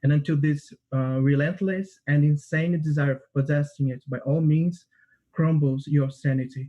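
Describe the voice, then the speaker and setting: A man speaks in a Portuguese accent at a moderate pace, his pitch fairly high with fairly even intonation. His tone is dark and mellow, somewhat breathy. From Brazil, Rio de Janeiro. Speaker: composer and music student. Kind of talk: describing own piece, prepared; interview answers. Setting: livestream.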